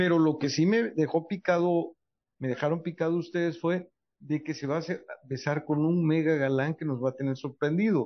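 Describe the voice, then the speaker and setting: This man has a high-pitched voice. He keeps a moderate pace. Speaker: entertainment journalist panelist. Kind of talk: panel chat. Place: studio.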